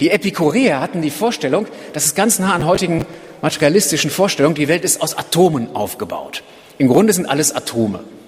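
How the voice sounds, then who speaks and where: The man talks at a very fast pace with very wide pitch swings. Noticeable background noise runs underneath. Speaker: preacher. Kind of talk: sermon. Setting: church. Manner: earnest, driven, urgent; conversational, explanatory, lightly humorous.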